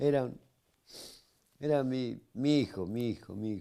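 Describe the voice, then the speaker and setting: Fairly even intonation in a man's dark, mellow voice. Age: 70s. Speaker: grieving grandfather, retiree. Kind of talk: TV interview by phone. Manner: halting, repetitive.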